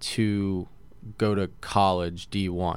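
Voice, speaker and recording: A man with an American accent speaks in a fairly low pitch. His intonation is flat and monotone. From Connecticut. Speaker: junior hockey player. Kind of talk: interview. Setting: studio.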